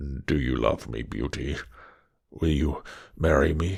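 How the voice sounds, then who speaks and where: In a put-on character voice, a man growls at a fairly slow pace, his pitch very deep and low, the tone gruff yet gentle. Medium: read story. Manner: gruff, gentle.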